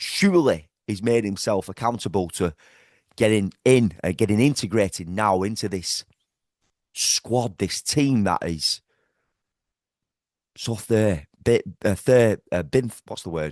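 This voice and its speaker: Speaking with a Liverpool accent, a man uses a fairly low pitch and a fairly slow pace, leaving long, frequent pauses, in a dry, close sound with no echo. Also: ordinary pitch variation. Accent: Scouse. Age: 40s. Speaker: football fan vlogger. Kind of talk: match reaction rant. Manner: animated.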